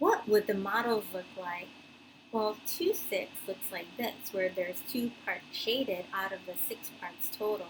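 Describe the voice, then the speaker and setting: A woman speaks at a medium pitch with ordinary pitch variation. Her pace is fairly slow, and there is noticeable background noise. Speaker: elementary school teacher. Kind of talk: recorded math lesson for pupils.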